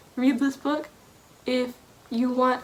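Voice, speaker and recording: Noticeable background noise accompanies a high-pitched woman talking at a fairly slow pace. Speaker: book vlogger. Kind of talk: casual vlog monologue.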